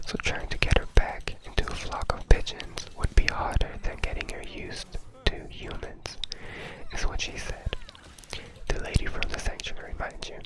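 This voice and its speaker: A man whispers at a moderate pace, his loudness swinging widely over noticeable background noise. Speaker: ASMR creator. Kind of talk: ASMR whisper ramble to camera. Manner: whispered, soft-spoken.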